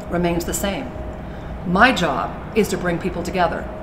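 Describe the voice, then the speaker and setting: Someone talks at a fairly quick pace, and noticeable background noise is heard throughout. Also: woman. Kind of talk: formal address. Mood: calm, measured, upbeat. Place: hall.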